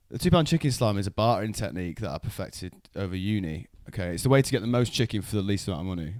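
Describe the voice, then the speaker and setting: Speaking at a very fast pace with lively intonation, a man with a Mancunian accent has a fairly low pitch, on a very clean recording with a silent background. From Manchester, England (Wythenshawe). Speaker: comedian and podcast host. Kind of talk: casual chat.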